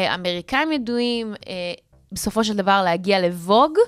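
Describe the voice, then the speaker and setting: A woman talks at a moderate pace with a fairly high pitch. Hers is a plain, everyday voice. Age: 30s. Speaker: radio host. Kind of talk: casual chat. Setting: radio studio.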